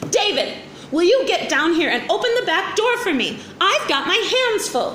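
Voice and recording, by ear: Shouting in a put-on character voice, the speaker makes big pitch swings with a fairly bright tone, and room echo is audible. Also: woman, extremely high pitch for a woman, moderate pace.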